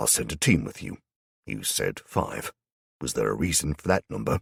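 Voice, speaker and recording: A man puts on a gruff character voice, very deep and low in pitch. His pitch swings very widely, and the sound is dry and close with no echo. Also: moderate pace. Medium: read story. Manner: abrupt, gruff.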